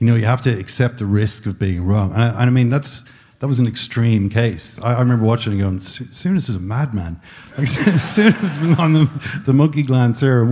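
With an Irish accent and medium pitch, a man speaks at a fairly quick pace with lively intonation against noticeable background noise. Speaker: podcast host. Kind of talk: live interview on stage. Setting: stage with audience.

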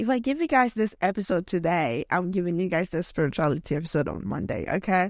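A woman with a non-native accent and lively intonation speaks at a fairly quick pace, in a dry, close sound with no echo. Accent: non-US foreign accent in English. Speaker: podcast host. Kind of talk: casual solo monologue. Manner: rambling, filler-heavy with many likes; laughs often.

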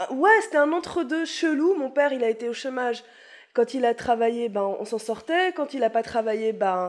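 In a high voice with lively intonation, a woman speaks at a moderate pace against a quiet background. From Paris (Montmartre). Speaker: comedian. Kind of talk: casual chat.

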